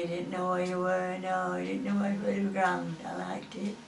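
A woman with a medium pitch speaks amid audible room echo and light background noise. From Preston, Lancashire, England. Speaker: war veteran. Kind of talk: oral history interview answer. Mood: fond, cheerful memories. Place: home room. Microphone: camera far.

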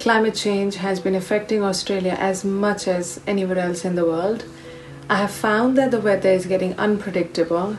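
A woman at a moderate pace with monotone, flat intonation, clear music in the background. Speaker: physiotherapist. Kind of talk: casual talk to camera. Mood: calm, concerned. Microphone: phone near.

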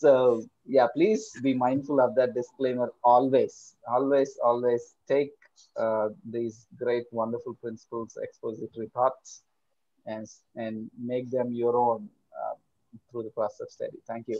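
A man with a dark, mellow tone speaks with fairly even intonation and big swings in loudness over a quiet background. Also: fairly slow pace, dry sound with no echo. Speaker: seminar moderator; seminar host or moderator. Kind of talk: casual chat. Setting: video call. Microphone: video call.

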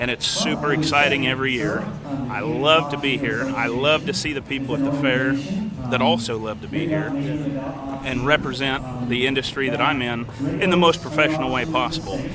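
Over loud background noise, a man with an American accent talks at a moderate pace, his fairly high pitch carrying fairly even intonation. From Kansas, USA. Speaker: auctioneer and real estate professional. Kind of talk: interview answer. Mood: upbeat, enthusiastic. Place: stadium. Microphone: phone near.

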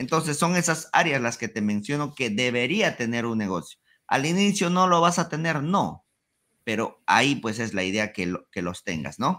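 A man's medium-pitched voice, bright and sharp in tone, at a moderate pace with very wide pitch swings over a quiet background. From Peru, Huancayo (central Andes); Peru. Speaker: ecommerce entrepreneur; podcast guest. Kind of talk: interview.

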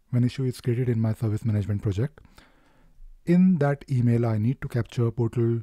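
Here a man speaks with a dark, mellow tone, somewhat breathy, with ordinary pitch variation. The sound is dry with no echo, over a quiet background. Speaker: presenter. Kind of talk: tutorial.

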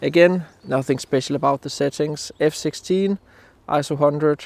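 A man at a fairly slow pace, with fairly even intonation and a dry sound with no echo. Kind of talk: casual vlog chat. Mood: calm, reflective. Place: forest. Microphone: phone near.

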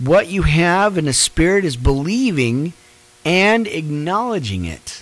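Speaking at a fairly slow pace, a man swings his pitch very widely in a dry sound with no echo. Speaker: online preacher. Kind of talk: live-streamed Bible study. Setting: live stream with background music. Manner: casual with many fillers. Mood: warm, encouraging. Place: home room. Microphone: studio mic.

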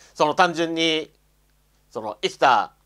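A man talks at a fairly high pitch, with a quiet background behind him. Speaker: YouTuber commenting on religion; commentator. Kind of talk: solo video monologue. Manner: halting, many fillers. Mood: bitter, resentful. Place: home room. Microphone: lapel.

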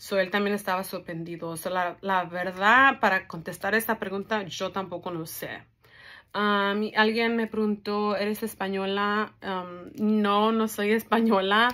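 A woman at a fairly slow pace, with a bright, sharp tone and fairly even intonation. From California, Mexican-American. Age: 20s. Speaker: vlogger, cancer survivor. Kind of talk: casual Q&A vlog. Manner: hesitant, many fillers. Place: home room. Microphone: phone near.

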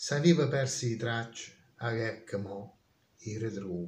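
Over audible room echo, a man speaks with lively intonation in a somewhat breathy voice. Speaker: dialect poet. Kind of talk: poetry reading. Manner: solemn, slow. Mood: solemn, reflective. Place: home room. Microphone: phone near.

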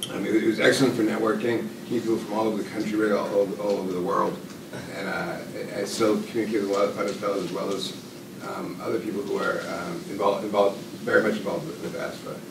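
A man with a fairly low voice talks at a very fast pace with ordinary pitch variation, over noticeable background noise and audible room echo. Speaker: graduate student. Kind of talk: casual remarks. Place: classroom.

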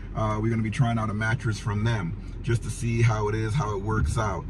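A man's voice in a dry sound with no echo, with noticeable background noise behind it. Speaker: vehicle camping vlogger. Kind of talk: casual vlog chat. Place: car.

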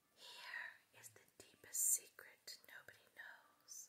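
Very slow whispering from a woman. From West Virginia. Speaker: poet. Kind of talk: poetry reading. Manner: whispered. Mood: tender, romantic, soothing.

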